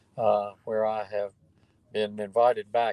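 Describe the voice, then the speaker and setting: A man talks fairly slowly with a North Carolina accent and ordinary pitch variation. The sound is dry and close with no echo. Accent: Southern US (North Carolina). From US South, North Carolina (Durham). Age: 70s. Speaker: retired lawyer, theory creator. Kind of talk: interview. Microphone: phone line, quality drops out.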